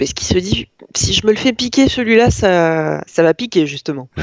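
Lively intonation at a moderate pace. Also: woman. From northern France, Lille. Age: 30s. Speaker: journalist. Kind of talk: casual chat.

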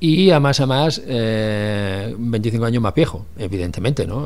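The pitch swings very widely. Room echo can be heard. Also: man. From Catalonia, Barcelona. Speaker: former city councillor. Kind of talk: radio interview. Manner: halting, with many repeated words.

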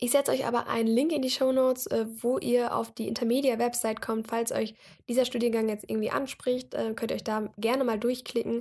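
At a fairly quick pace, a woman speaks in a high pitch with fairly even intonation, in a very clean recording with a silent background. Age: 20s. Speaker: podcast host, university student. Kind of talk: solo podcast introduction. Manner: casual with frequent fillers.

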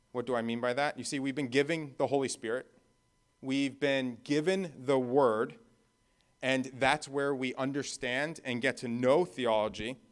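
At a moderate pace, a man with a plain, everyday voice of medium pitch speaks with fairly even intonation on a very clean recording with a silent background. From New Jersey. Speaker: guest preacher. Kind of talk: sermon.

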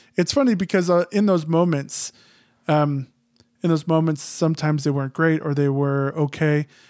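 Heard in an ordinary speaking voice with an American accent, the speaker keeps a moderate pace, fairly even intonation, and very even loudness on a very clean recording with a silent background. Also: man, fairly high pitch for a man. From Phoenix, Arizona. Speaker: writer. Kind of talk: interview.

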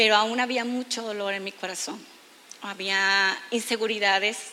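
In a room with audible echo, a woman speaks fairly slowly in a fairly high, monotone voice with flat intonation. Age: 30s. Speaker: aesthetic doctor. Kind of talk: testimony. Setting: church stage with audience.

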